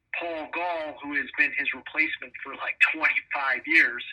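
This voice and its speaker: A man is speaking. His pace is fairly slow. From Cleveland, Ohio (Slovenian-American, St. Clair area). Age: 60s. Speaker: musician and lawyer. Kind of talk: interview.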